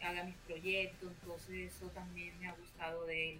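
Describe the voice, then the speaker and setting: A woman with a medium-pitched voice speaks at a moderate pace, with noticeable background noise and audible room echo. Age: 30s. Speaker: podcast guest. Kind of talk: interview.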